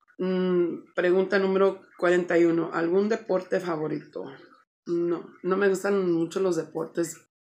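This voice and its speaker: The woman speaks at a very slow pace. Her intonation stays monotone and flat. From Chicago, US Midwest, Mexican-American family. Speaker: vlogger. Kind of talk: casual vlog, Q&A tag. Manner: casual, filler-heavy with English code-switching. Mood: relaxed, friendly, a bit shy. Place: home room.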